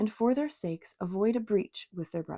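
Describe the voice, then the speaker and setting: A soft-spoken woman with a dark, mellow tone, medium pitch, lively intonation and a calm tone, in a dry, close sound with no echo over a quiet background. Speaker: tarot reader and ASMR reader. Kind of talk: soft-spoken audiobook-style reading of a classic novel. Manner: soft-spoken, calm, relaxing.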